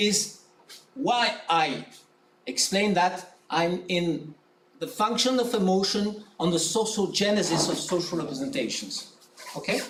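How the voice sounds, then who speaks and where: A man with a French accent speaks at a fairly slow pace and high pitch, with ordinary pitch variation, noticeable background noise and audible room echo. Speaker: academic presenter. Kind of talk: conference presentation; conference Q&A answer.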